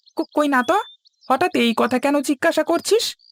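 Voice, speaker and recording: This is a cartoonish character voice. It is high in pitch. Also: fairly quick pace. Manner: familiar, reassuring.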